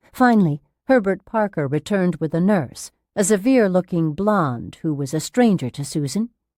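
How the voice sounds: Lively intonation marks a natural reading voice, heard over a quiet background.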